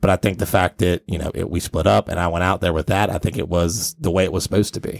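Very fast with hardly any pauses, a man speaks at a very deep, low pitch with vocal fry and ordinary pitch variation, in a dry, close sound with no echo. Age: 30s. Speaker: podcast host and business owner. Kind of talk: casual interview chat.

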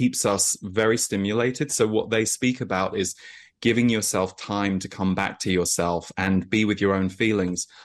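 The background is quiet as a man speaks at a moderate pace with fairly low pitch. He has a plain, everyday voice with fairly even intonation. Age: 40s. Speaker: energy intuitive and author. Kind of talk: interview.

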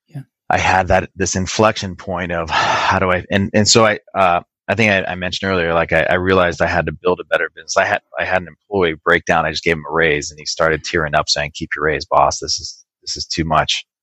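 Very fast Californian-accented delivery with hardly any pauses, fairly even intonation, and a dry, close sound with no echo. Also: man, very deep, low pitch for a man. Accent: General American, Californian. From Wisconsin to age 8, then Southern California. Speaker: IT business owner. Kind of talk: interview conversation. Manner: hesitant, many repeated words and fillers.

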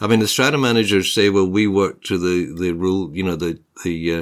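Fairly quick delivery with a Scottish accent and ordinary pitch variation. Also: man. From Scotland. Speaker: podcast host and property journalist. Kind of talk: casual conversational podcast chat.

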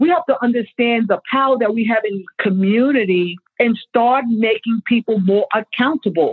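A woman's passionate tone at a fairly quick pace, with ordinary pitch variation. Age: 60s. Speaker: farmer and activist. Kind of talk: panel discussion.

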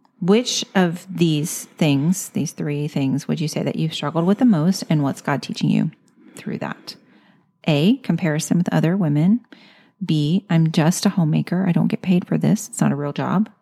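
A woman's fairly low voice carries a dark, mellow tone and vocal fry. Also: ordinary pitch variation, moderate pace. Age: 50s. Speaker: podcast host. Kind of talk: interview. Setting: in-person interview.

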